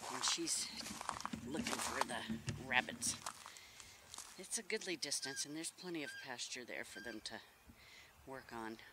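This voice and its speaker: Over loud background noise, a man speaks with long, frequent pauses in a dry sound with no echo. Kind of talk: casual vlog chat. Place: open country. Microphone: phone near.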